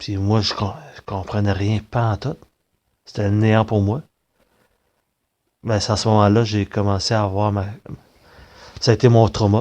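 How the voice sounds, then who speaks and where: In a Quebec accent, a man with a dark, mellow, fairly low voice speaks in a monotone, flat intonation with long, frequent pauses. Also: quiet background. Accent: Québécois French. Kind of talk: personal monologue. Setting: recorded on tablet. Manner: halting.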